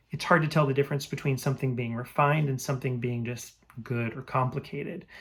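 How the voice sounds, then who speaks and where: A somewhat breathy voice is heard. The background is silent and the recording very clean. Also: man. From France and Belgium. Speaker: musician vlogger. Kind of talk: personal monologue. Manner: reflective, with filler words.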